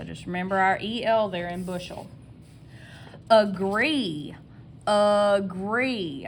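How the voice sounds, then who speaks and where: A woman with a Southern US accent, speaking at a very slow pace, with audible room echo. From US South. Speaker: elementary school teacher. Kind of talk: tutorial. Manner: slow, sounding out syllables.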